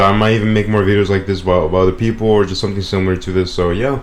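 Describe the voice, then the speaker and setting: A man is talking. His voice sits fairly low. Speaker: gaming YouTuber reviewing a music album. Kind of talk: casual video commentary. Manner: monotone; halting, many repeats and fillers.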